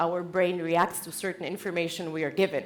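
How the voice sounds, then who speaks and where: A woman with a Czech accent talks at a fairly quick pace. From Czech Republic. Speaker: conference speaker, company founder. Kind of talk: keynote talk. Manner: animated.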